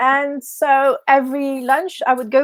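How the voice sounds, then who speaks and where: A woman with a high voice and a French accent speaks in a dry, close sound with no echo. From France, Paris. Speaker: business mentor. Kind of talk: podcast interview.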